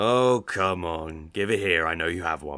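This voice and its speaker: A raspy put-on character voice at a moderate pace, on a very clean recording with a silent background. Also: man, very deep, low pitch for a man. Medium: audio drama. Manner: terse, dry.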